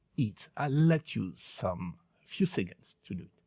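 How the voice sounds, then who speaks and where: Speaking with a French accent, a man moves at a fairly slow pace with very wide pitch swings. The recording is very clean, with a silent background. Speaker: synthesizer video presenter. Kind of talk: tutorial. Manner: halting, many fillers.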